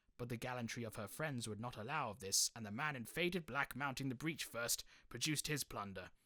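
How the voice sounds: The voice is natural as it reads.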